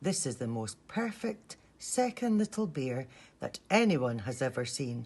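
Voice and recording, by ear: In a put-on character voice, the speaker uses big pitch swings at a fairly slow pace, with a slightly mellow tone and a slightly husky edge. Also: woman, extremely low pitch for a woman.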